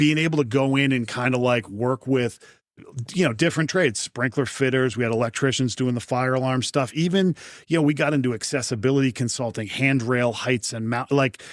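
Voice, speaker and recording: A man with a New England accent speaks at a fairly quick pace, his medium pitch showing ordinary variation. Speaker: fire protection executive. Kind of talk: interview. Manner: fast.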